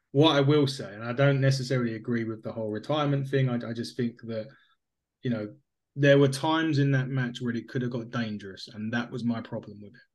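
A man talks at a very fast pace with fairly even intonation. His loudness swings widely. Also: medium pitch for a man. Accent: English. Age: 30s. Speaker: podcast co-host. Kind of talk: casual chat.

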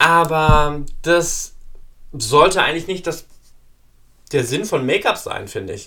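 Very slow and full of long, frequent pauses, a man talks at a high pitch with ordinary pitch variation. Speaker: podcast host. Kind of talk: casual monologue. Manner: many fillers and hesitations.

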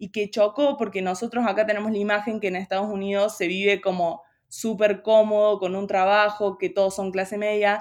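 Speaking at a fairly quick pace, a woman holds a medium pitch in a monotone, flat delivery. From Argentina, Río Cuarto (Córdoba). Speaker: university student. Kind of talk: casual interview chat.

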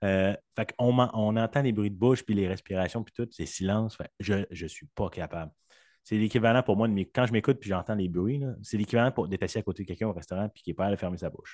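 A man's fairly low voice at a fairly quick pace, with ordinary pitch variation and a dry, close sound with no echo. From Quebec. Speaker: podcast guest, sound designer. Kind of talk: casual chat.

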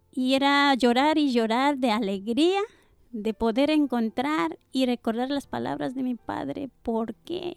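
A woman speaks very slowly at a high pitch with lively intonation. The sound is dry and close, with no echo. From Ecuador. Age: 40s. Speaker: churchgoer sharing faith testimony. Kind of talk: testimony. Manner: halting.

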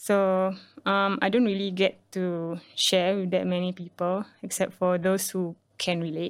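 A woman's medium-pitched voice comes at a fairly slow pace with monotone, flat intonation, on a very clean recording with a silent background. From Singapore. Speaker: artist and writer. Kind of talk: podcast interview.

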